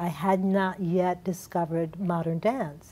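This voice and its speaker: A woman with an American accent speaks at a very slow pace. Her tone is dark and mellow, her intonation fairly even. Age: 60s. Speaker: dance academy founder, former dancer. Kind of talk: TV interview.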